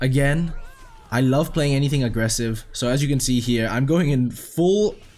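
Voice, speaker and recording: With music playing in the background, a man speaks with lively intonation. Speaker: gaming commentator. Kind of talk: gameplay commentary. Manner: casual, conversational.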